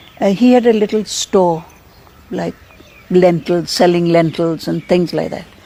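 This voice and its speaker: This woman has an unremarkable speaking voice with fairly low pitch. She talks at a fairly slow pace with fairly even intonation. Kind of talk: interview answer.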